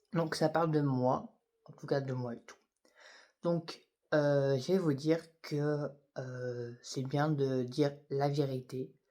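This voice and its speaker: A man speaks very slowly, pausing long and often, in a fairly high pitch with a dark, mellow tone. His intonation stays fairly even while his loudness swings widely. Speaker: YouTuber. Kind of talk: personal vlog testimony. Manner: halting; soft-spoken, whispery.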